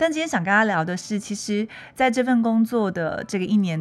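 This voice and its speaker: A woman at a medium pitch speaks at a moderate pace with lively intonation, captured on a very clean recording against a silent background. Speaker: podcast host. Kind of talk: casual monologue.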